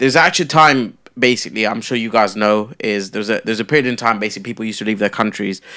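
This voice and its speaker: This man talks very fast at a medium pitch, his tone bright and sharp. The recording is very clean, with a silent background. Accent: London. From London, England (childhood in Kenya). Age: 20s. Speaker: former reality TV contestant and entrepreneur. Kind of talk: casual podcast interview.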